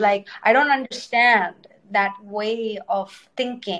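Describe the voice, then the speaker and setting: This woman talks at a fairly slow pace with fairly even intonation and an Indian accent. Her pitch sits in the medium range. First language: Telugu. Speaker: dancer and choreographer. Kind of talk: casual interview chat. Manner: eloquent, thoughtful.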